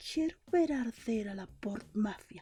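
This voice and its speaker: Growling in a put-on character voice, a woman speaks fairly slowly at a fairly high pitch with very wide pitch swings. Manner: nightmarish growl.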